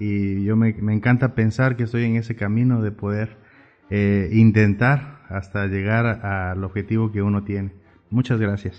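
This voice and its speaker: Speaking at a fairly slow pace, a man with fairly low pitch keeps a monotone, flat intonation. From Oaxaca, Mexico. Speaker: urban artist. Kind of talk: interview. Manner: halting, frequent fillers.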